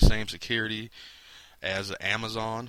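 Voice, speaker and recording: The man talks with a fairly low pitch. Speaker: network marketing distributor. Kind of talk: product demo. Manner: fast; casual, filler-heavy.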